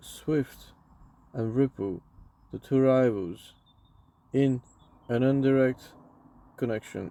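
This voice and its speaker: Using a non-native accent, a man speaks very slowly at a medium pitch in a dark, mellow tone, with long, frequent pauses. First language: not English. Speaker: crypto YouTuber. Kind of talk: reading aloud. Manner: halting.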